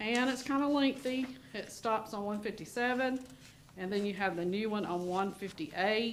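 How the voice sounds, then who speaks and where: A woman of medium pitch at a moderate pace, ordinary pitch variation, with audible room echo and noticeable background noise. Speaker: school district administrator, Title IX officer. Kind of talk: school board meeting presentation.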